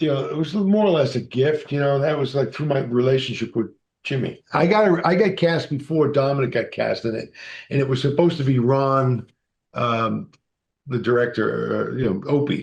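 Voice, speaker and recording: A man with an American accent and a fairly high pitch speaks at a moderate pace, somewhat breathy and with ordinary pitch variation, against a quiet background. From Massachusetts, US. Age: 60s. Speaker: actor and author. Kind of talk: interview storytelling.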